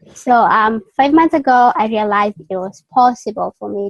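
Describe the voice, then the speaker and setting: A woman with a Kenyan accent at a fairly slow pace, fairly even intonation, in a dry, close sound with no echo. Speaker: college student and online interviewer. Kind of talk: interview. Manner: halting, many fillers.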